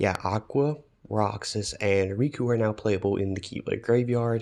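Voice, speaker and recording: A soft-spoken man's voice, fairly low in pitch and fairly even in intonation, against a quiet background. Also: moderate pace, very even loudness. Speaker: gaming video commentator. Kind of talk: casual commentary. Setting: echoey vacation room. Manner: halting.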